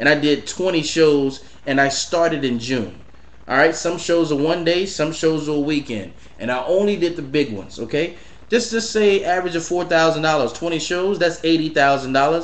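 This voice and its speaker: A man talks at a moderate pace with a fairly high pitch and ordinary pitch variation. Noticeable background noise and audible room echo fill the recording. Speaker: entrepreneur and business coach. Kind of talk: casual vlog monologue.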